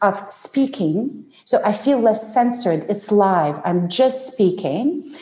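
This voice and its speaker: Noticeable background noise sits behind a woman's voice. Her pitch is fairly high and swings very widely. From Ukraine. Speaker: personal branding expert. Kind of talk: interview.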